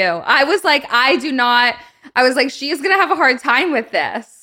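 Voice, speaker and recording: A woman speaks in a raised, projected voice with a high pitch. Her tone is bright and sharp, and her intonation is lively. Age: 20s. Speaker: podcast host. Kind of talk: casual interview chat.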